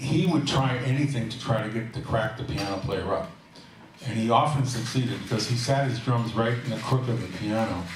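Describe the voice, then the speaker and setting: Through audible room echo and noticeable background noise, a man speaks at a fairly quick pace with a medium pitch and ordinary pitch variation. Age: 70s. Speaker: jazz musician and bandleader. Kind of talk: live stage banter. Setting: stage with audience. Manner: halting.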